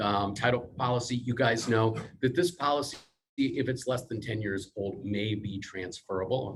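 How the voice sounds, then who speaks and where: Here a man talks at a moderate pace, somewhat breathy. His pitch varies in an ordinary way. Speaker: real estate title team presenter. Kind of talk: team meeting presentation. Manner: soft-spoken.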